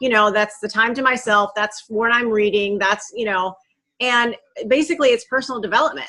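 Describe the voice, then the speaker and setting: A woman talks loudly and fairly quickly. Her pitch is fairly high, with ordinary variation. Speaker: network marketing team leader. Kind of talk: casual chat.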